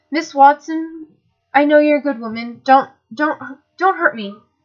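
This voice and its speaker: A woman puts on a shaky, high-pitched character voice. She keeps a moderate pace with ordinary pitch variation. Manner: pleading.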